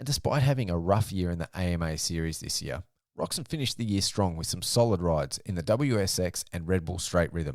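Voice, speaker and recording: Very deep, low male voice with an Australian accent, lively intonation and a fairly quick pace, on a very clean recording with a silent background. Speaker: motocross podcast host. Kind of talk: solo podcast commentary.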